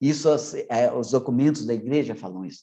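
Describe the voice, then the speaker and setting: A man with a Minas Gerais accent speaks at a moderate pace and medium pitch, his tone dark and mellow. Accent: Brazilian Portuguese, mineiro. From Minas Gerais, Brazil. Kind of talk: online formation talk. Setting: online meeting. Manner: swallows syllables.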